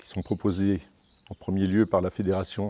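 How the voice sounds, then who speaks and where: A man's very deep, low voice with a dark, mellow tone is captured on a very clean recording with a silent background. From Brittany, France (Dinan area). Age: 60s. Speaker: international cycling commissaire. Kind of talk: interview. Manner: halting, many hesitations and repetitions.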